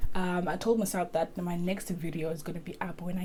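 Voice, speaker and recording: At a moderate pace, a woman talks at a fairly low pitch, with audible room echo around her. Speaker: lifestyle vlogger. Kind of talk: casual vlog talk to camera.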